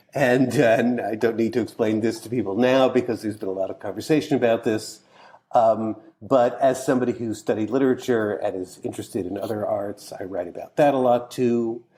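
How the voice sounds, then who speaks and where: A man's ordinary speaking voice, an ordinary speaking voice at medium pitch, fairly quick and fairly even in intonation, with big swings in loudness. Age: 60s. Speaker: author and cultural critic. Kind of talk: interview conversation.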